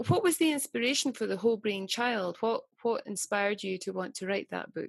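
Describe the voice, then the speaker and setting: Talking at a fairly quick pace, a woman with a strong Scottish accent uses a fairly high pitch and lively intonation. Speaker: meditation teacher, interviewer. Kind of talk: interview.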